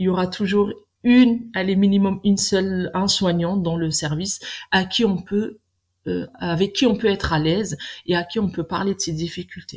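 At a moderate pace, the somewhat breathy voice carries on. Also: woman. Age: 40s. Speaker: nurse. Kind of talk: interview. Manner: halting, many fillers.

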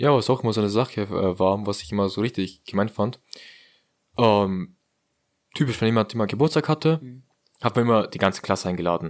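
A man's fairly low voice with ordinary pitch variation, fairly quick but broken by long, frequent pauses, in a very clean recording with a silent background. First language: non-German heritage language (speaking German). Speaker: podcast co-host. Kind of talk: casual chat.

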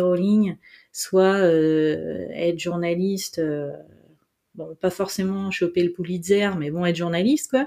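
A woman with a fairly low pitch and a dark, mellow tone. She talks very slowly with fairly even intonation. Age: 40s. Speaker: journalist and entrepreneur. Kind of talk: interview.

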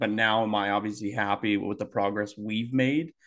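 A man with a fairly low pitch and a normal speaking voice. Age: 20s. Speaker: podcast co-host. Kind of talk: casual chat.

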